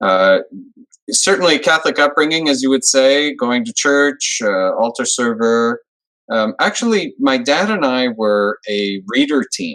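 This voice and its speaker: With a Canadian accent, a man with a medium pitch speaks at a fairly slow pace with lively intonation in an unremarkable speaking voice. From Montreal, Quebec. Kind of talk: interview. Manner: conversational.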